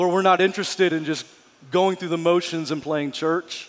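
A man talks at a high pitch. His intonation is monotone and flat. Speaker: pastor. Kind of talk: prayer. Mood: earnest, intense. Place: church. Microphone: headset.

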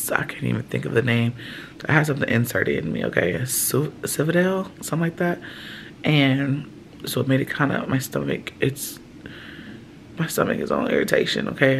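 A strained, weary-toned woman at a moderate pace, with long, frequent pauses and light background noise. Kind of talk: casual vlog chat. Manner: weary, strained voice of woman in pain. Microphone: phone near.

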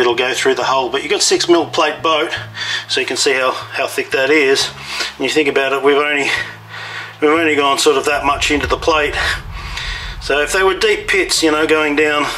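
A man speaks with fairly even intonation while music plays in the background. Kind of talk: tutorial explanation. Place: boat. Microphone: phone near.

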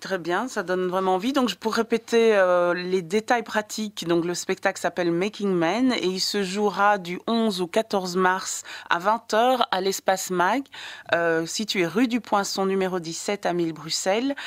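Speaking at a very slow pace, a woman uses a medium pitch with ordinary pitch variation, in a dry, close sound with no echo. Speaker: radio film columnist. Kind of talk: radio interview. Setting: radio studio. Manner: hesitant.

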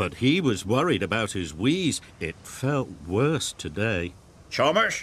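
An unforced reading voice is what this clip offers.

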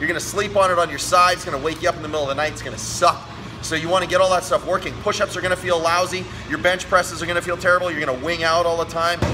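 A man with a high voice talks at a very fast pace with fairly even intonation. Music plays in the background. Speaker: fitness coach. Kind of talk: tutorial. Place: gym. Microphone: phone near.

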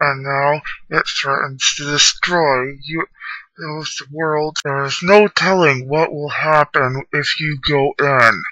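Using a put-on character voice, a man pitches himself fairly high. His delivery comes at a fairly slow pace. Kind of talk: scripted character dialogue. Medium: machinima. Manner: formal, solemn. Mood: grave explaining.

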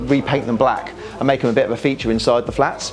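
A man talks at a very fast pace. His intonation stays fairly even, with faint music in the background. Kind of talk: walkthrough tour explanation.

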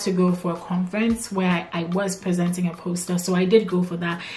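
Music sounds behind the voice. The speaker is a woman. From Ghana. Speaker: PhD student turned researcher vlogger. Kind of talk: casual chat. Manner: conversational, with filler words. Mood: warm, reflective. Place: home room.

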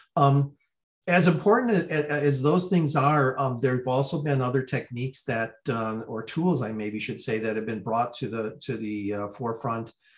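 A man with a medium-pitched, somewhat breathy voice talks at a moderate pace with ordinary pitch variation over a quiet background. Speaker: research center director. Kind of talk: welcome address. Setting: video call. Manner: halting. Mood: appreciative, calm. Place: home room. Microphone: video call.

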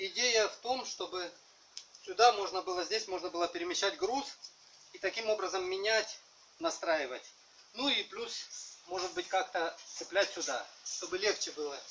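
A man with a high voice speaks at a moderate pace, leaving long, frequent pauses. Light background noise sits behind him. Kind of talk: casual vlog chat. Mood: humorous, self-mocking. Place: garden.

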